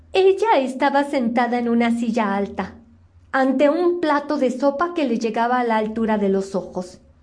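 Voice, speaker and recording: A woman's high-pitched voice with lively intonation, a gentle tone and a moderate pace. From Mexico City. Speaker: storyteller, reciter. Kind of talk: bedtime story telling, reading aloud. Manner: soft, sweet, gentle, childlike diminutives.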